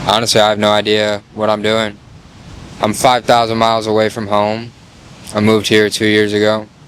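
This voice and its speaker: With fairly low pitch, a man talks at a fairly quick pace in a monotone, flat intonation, broken by long, frequent pauses, over noticeable background noise. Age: 20s. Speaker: content creator. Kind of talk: casual talk to camera. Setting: outdoors.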